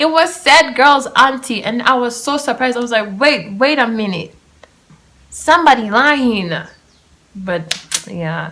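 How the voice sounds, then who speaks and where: Pausing long and often, a woman speaks fairly slowly in a high voice that swings very widely in pitch. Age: 20s. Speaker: podcast host. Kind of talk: casual chat. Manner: animated.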